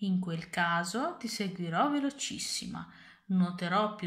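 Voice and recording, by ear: Reading aloud in a natural voice, the speaker's intonation is lively.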